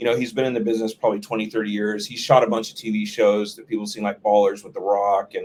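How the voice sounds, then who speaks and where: A man with an American accent and a fairly low pitch talks at a very fast pace with hardly any pauses, monotone, flat intonation and big swings in loudness. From Texas, Dallas. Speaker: film director and cinematographer. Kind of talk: interview. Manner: halting, many false starts.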